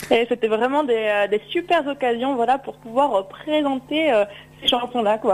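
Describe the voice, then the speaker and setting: A woman's high-pitched voice at a fairly slow pace, with ordinary pitch variation amid noticeable background noise. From Drôme, southeastern France. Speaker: singer-songwriter. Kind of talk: radio interview. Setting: phone call. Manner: halting, many repetitions.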